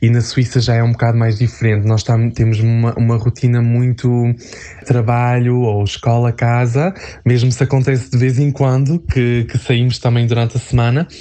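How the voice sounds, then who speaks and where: A man speaks at a moderate pace and medium pitch, in a monotone, flat intonation with very even loudness, over noticeable background noise. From northern Portugal, near Porto. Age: 20s. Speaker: human resources worker. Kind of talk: interview. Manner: hesitant.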